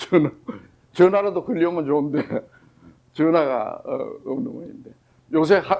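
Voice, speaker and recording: At a moderate pace, a man talks at a high pitch with lively intonation. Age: 80s+. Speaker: psychiatrist lecturer. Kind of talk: lecture. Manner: halting, many fillers.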